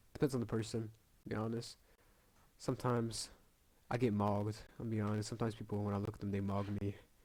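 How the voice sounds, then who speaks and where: Mumbling at a very fast pace, a man with a fairly low pitch speaks in a monotone, flat way, broken by long, frequent pauses. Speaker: gaming youtuber. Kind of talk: casual commentary while taking an online quiz. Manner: halting, stammering repeats.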